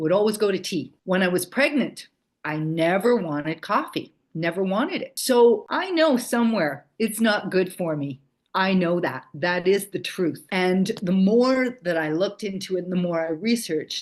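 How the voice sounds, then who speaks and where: A woman's unremarkable speaking voice, medium in pitch, with lively intonation at a moderate pace. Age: 60s. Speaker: childbirth educator. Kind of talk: casual chat.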